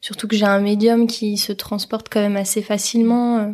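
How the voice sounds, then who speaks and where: The intonation is monotone and flat. The speaker keeps a moderate pace. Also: woman. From Paris, France. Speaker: illustrator. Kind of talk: interview. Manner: hesitant, many fillers.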